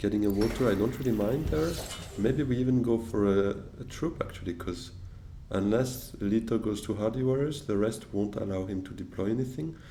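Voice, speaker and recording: With audible room echo, a man with a French accent and a fairly low pitch speaks at a moderate pace with ordinary pitch variation. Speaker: board game streamer. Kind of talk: gameplay commentary. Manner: thinking aloud with hesitations.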